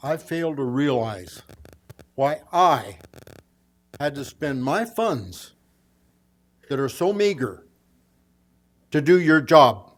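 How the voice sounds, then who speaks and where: A man talks at a very slow pace, his pitch swinging very widely. Long pauses come often. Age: 80s+. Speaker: member of the public giving comment. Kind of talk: public comment at hearing.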